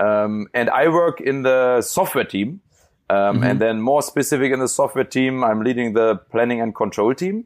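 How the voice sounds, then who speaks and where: A man speaks at a moderate pace over a quiet background. His medium pitch has ordinary variation, and his loudness is very even. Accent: German. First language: German. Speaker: autonomous driving engineer. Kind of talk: casual interview. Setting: remote call from home bedroom. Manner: halting, filler words.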